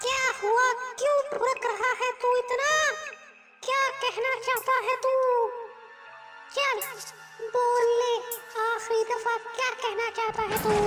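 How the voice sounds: Over clear music in the background, a put-on character voice with an extremely high pitch speaks at a fairly slow pace in a monotone, flat intonation, with long, frequent pauses.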